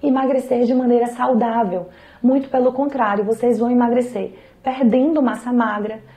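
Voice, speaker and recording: Over noticeable background noise, a woman speaks at a moderate pace in a high pitch. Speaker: nutrition professional. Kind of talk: health advice talk to camera.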